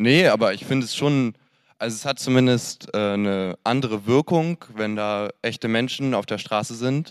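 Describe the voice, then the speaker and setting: Recorded very cleanly with a silent background and a dry, close sound with no echo, a man with a plain, everyday voice speaks at medium pitch and a moderate pace with ordinary pitch variation. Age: 20s. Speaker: audience member. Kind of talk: audience question. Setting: stage with audience.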